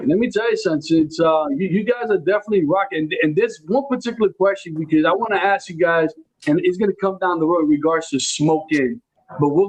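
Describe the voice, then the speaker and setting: A man with a New York accent speaks at a fairly quick pace. His pitch is high, with ordinary pitch variation. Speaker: podcast host. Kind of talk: casual chat. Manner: halting.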